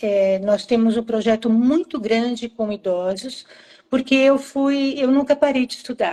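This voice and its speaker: Fairly slow and fairly high in pitch, a woman's voice carries a dark, mellow tone with ordinary pitch variation. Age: 70s. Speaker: psychomotor therapy professor. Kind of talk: live-stream interview. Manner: hesitant, with repeated words.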